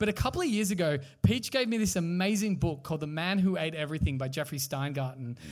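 The speaker, in an Australian accent, talks at a very fast pace with very wide pitch swings. The recording is very clean, with a silent background. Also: man. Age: 30s. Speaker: podcast host. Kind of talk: live podcast chat. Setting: stage with audience.

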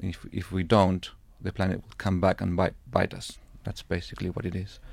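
In a Spanish accent, a man with a very deep, low voice talks at a fairly quick pace in a flat monotone, recorded very cleanly against a silent background. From Chile. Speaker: anthropologist and filmmaker. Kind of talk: casual chat.

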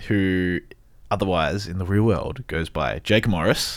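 Very deep and low in pitch, a man with an Australian accent talks at a moderate pace. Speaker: radio podcast host. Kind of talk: casual chat. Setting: studio.

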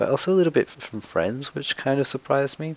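A man in an Australian accent talks at a fairly quick pace. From Sydney, Australia. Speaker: media producer. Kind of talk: recorded personal testimony.

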